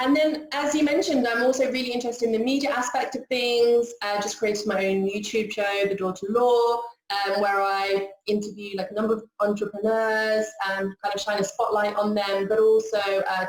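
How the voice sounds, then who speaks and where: Speaking with a British accent, a woman talks at a fairly quick pace with hardly any pauses, her fairly high voice held to fairly even intonation. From UK. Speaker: corporate lawyer. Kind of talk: casual interview chat.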